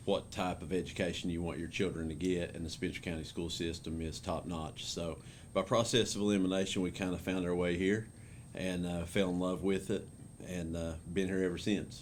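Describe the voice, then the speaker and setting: A man with an Appalachian accent, very deep, low pitch, monotone, flat intonation and a fairly quick pace, with audible room echo. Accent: Appalachian Kentucky. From Eastern Kentucky mountains. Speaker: school principal. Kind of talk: interview. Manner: many fillers like uh and um.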